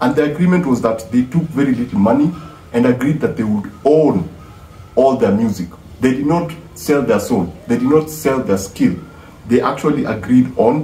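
There is music in the background and audible room echo. A man talks at a moderate pace. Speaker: music commentator. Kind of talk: casual vlog commentary. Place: home room. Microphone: phone near.

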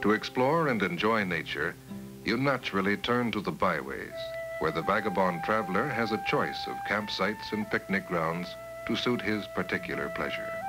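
Over clear music in the background, a man with a fairly low voice speaks at a moderate pace. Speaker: documentary narrator. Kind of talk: documentary narration. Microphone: old recording.

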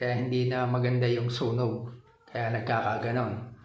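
Noticeable background noise and audible room echo surround this recording. The speaker is a man with a medium pitch. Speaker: motorcycle vlogger. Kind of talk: tutorial. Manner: casual, hesitant with fillers.

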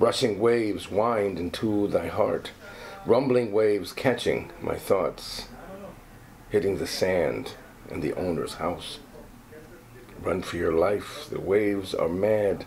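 Music sits in the background. A man speaks very slowly, leaving long, frequent pauses. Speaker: actor reading poetry. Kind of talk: reading aloud a poem, expressive stage-actor delivery. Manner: casual, chatty between poem readings. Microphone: phone near.

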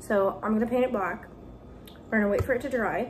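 Noticeable background noise sits behind a woman speaking at a moderate pace. Her pitch is fairly high and her intonation fairly even. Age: 20s. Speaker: vlogger. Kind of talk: casual vlog talk to camera. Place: kitchen. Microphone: phone near.

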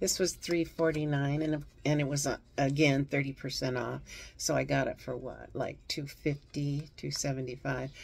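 Faint music plays behind a woman with a very deep, low pitch and ordinary pitch variation who speaks at a moderate pace. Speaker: reseller showing thrift finds. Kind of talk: casual vlog chat. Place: home room. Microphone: phone near.

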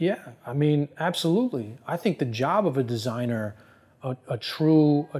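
A man speaks in an American accent with ordinary pitch variation. His tone is dark and mellow. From New Jersey. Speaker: fashion industry expert; interview guest. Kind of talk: interview. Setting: on camera. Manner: fast. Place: office.

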